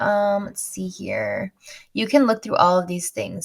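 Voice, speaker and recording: A woman with a medium pitch and a somewhat breathy voice speaks at a moderate pace. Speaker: finance tutorial youtuber. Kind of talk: screen-share tutorial. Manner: casual, chatty.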